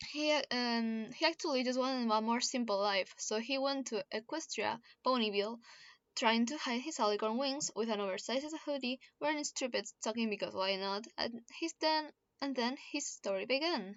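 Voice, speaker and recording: Someone talks at a moderate pace with a Spanish accent. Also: woman, high pitch for a woman, ordinary pitch variation. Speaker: YouTuber reading own fanfiction. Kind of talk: reading aloud with commentary. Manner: halting, many self-corrections.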